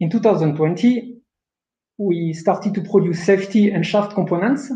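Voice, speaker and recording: A man's high voice with a French accent, dark and mellow in tone, at a moderate pace with ordinary pitch variation. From France. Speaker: production manager. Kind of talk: webinar presentation. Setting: online webinar.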